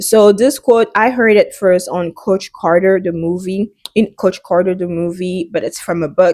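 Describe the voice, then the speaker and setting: She is a woman with a French accent. Her pitch is medium, and she speaks with hardly any pauses. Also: ordinary pitch variation, moderate pace. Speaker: fitness and wellness vlogger. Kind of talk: casual vlog monologue. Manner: halting.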